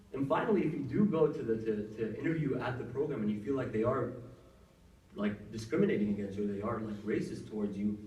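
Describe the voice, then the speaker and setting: Very fast speech comes from a man with medium pitch and ordinary pitch variation. Audible room echo and noticeable background noise are present. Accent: American. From US Midwest (Cincinnati, Ohio), teens in Saudi Arabia. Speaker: doctor giving career advice. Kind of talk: workshop talk. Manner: casual, filler-heavy.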